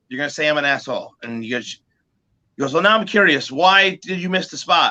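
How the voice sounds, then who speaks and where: With an American accent, a man speaks in a high, bright, sharp tone at a fairly quick pace, using ordinary pitch variation. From New Jersey. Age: 40s. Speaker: musician. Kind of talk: casual chat. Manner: animated.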